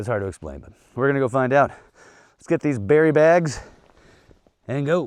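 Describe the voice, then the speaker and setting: An animated man's fairly high voice at a fairly quick pace, with ordinary pitch variation and long, frequent pauses. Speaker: off-grid homesteader vlogger. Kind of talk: casual outdoor vlog narration. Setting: outdoors. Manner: casual, animated; whispering at times.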